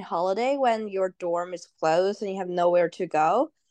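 A woman speaks with a Chinese accent and ordinary pitch variation. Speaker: international student, advisory board member. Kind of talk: casual interview.

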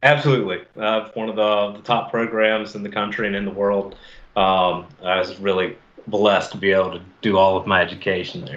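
A man's normal speaking voice, fairly low-pitched, with an American accent, fairly even intonation and a fairly quick pace. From US South, Mobile, Alabama. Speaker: fisheries biologist. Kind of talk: casual interview.

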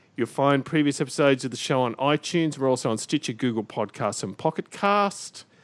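A man with an unremarkable speaking voice talks at a medium pitch with lively intonation and hardly any pauses, in a very clean recording with a silent background and a dry, close sound with no echo. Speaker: podcast host. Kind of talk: casual banter about video games. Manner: teasing, jokey.

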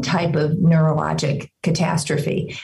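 Audible room echo colors the recording. The woman takes a fairly slow pace. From small town. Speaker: doctor and author. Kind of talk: interview conversation.

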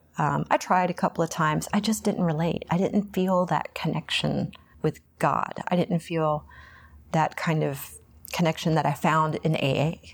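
The speaker has an American accent and vocal fry, talking at a moderate pace with fairly even intonation. Loudness stays very even in a very clean recording with a silent background. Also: woman. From Texas, Houston. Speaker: recovering alcoholic, Pilates instructor. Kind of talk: testimony interview. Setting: meeting hall after a meeting.

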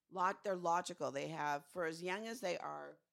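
Soft-spoken delivery at a moderate pace. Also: woman. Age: old. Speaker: podcast co-host, TV recap. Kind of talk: casual chat.

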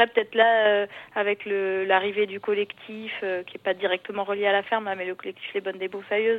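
This woman talks at a moderate pace. Her pitch sits in the medium range. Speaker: collective farm member. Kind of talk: casual chat. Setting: phone call. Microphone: landline phone.

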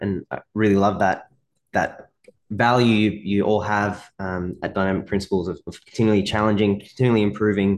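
A man at a moderate pace, fairly low-pitched, with an Australian accent and a quiet background. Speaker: podcast host and physiotherapy mentor. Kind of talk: casual interview chat. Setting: video call.

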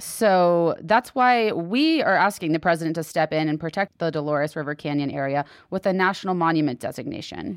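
Fairly quick and fairly low in pitch, a woman talks in an unremarkable speaking voice with an American accent. The recording is very clean with a silent background, and her pitch varies in an ordinary way. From Texas. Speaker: public lands podcast co-host. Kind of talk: casual news roundup chat.

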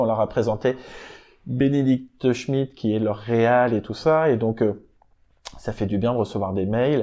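The man's intonation holds fairly even. He talks at a medium pitch. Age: 40s. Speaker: music industry program director. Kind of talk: interview. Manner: casual, hesitant with fillers.

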